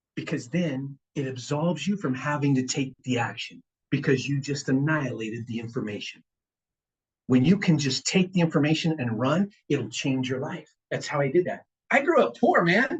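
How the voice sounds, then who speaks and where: In an American accent, a man with a fairly high pitch sounds animated and somewhat breathy. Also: ordinary pitch variation. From Richmond, California. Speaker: guest speaker on finance and investing. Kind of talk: seminar talk to a live audience. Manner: fast.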